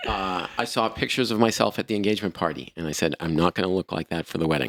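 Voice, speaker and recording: The speech moves at a very fast pace, with a dry, close sound and no echo. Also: man, very deep, low pitch for a man, ordinary pitch variation. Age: 60s. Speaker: podcast host. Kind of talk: casual chat.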